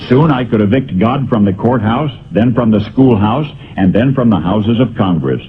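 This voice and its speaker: A man with an ordinary speaking voice talks at a medium pitch, moving at a moderate pace with ordinary pitch variation. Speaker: radio broadcaster. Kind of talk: essay reading.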